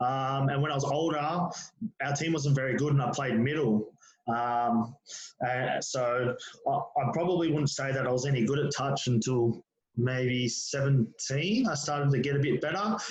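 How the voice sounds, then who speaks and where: Speaking in an Australian accent, this man has a fairly high-pitched voice. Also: ordinary pitch variation, fairly slow pace. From Australia, Penrith (western Sydney). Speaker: former touch football player and school teacher. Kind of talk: casual interview chat.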